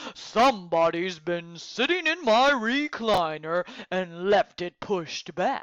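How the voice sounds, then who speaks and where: The pace here is fairly slow. A put-on character voice sits at a middle pitch. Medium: read story.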